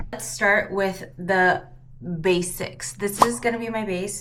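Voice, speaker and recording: With ordinary pitch variation and a medium pitch, a woman talks in a space with audible room echo. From US West Coast, San Francisco Bay Area. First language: Cantonese. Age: 30s. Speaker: beauty vlogger. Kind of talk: casual get-ready-with-me vlog. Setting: at home.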